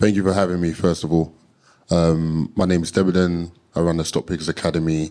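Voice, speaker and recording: Speaking in a South London accent, a man with a very deep, low pitch talks at a moderate pace in a monotone, flat intonation. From London, Peckham. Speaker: investing coach. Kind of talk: live podcast interview.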